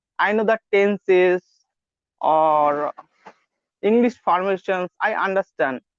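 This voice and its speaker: A very slow man with a Bengali accent, long, frequent pauses, a high pitch and ordinary pitch variation. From India, Kolkata. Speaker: English learner, researcher. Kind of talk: online English lesson conversation. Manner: halting.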